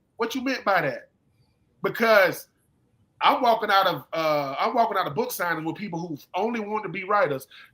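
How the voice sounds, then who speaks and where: With a Southern US accent, a man uses a raised, projected voice in an animated, bright, sharp tone, high-pitched with ordinary pitch variation and a fairly quick pace. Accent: Southern US (Georgia). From US South, Georgia (Swainsboro). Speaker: former football player and author. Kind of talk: casual chat. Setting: live stream.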